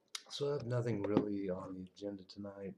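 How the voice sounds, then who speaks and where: A man speaks in a soft-spoken way. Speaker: veteran streamer. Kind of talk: casual live stream chat. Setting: live stream at night.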